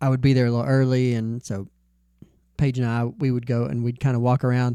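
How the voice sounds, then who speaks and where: With a Southern US accent, a man with a dark, mellow tone and medium pitch talks at a fairly quick pace, fairly even in intonation, leaving long, frequent pauses, in a very clean recording against a silent background. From US South, Nashville area. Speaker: podcast co-host. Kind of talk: casual chat.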